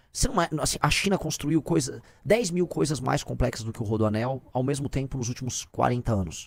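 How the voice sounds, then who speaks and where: With lively intonation, a man talks at a fairly quick pace. His pitch is medium. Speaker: political commentator. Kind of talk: casual chat. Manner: fast.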